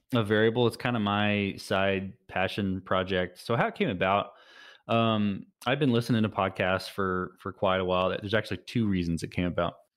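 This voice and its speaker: Over a quiet background, a man with an American accent talks fairly quickly at a fairly low pitch, keeping his intonation fairly even. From Texas. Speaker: tech startup founder. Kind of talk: interview. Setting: remote call through a web browser. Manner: hesitant, many fillers and restarts.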